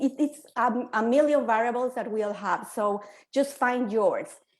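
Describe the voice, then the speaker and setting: At a fairly slow pace, a woman speaks with a Spanish accent. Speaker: quantum healer. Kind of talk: panel discussion.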